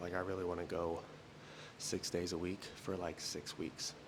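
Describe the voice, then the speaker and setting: A soft-spoken man talks in a very deep, low pitch. His intonation stays monotone and flat. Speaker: fitness vlogger. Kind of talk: casual vlog monologue. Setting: at home doing early morning cardio. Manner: quiet, talking softly.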